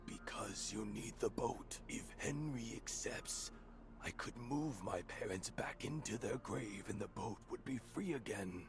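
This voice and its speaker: Over loud background noise, a man uses a put-on character voice and speaks at a fairly slow pace. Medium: video game. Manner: terse, questioning.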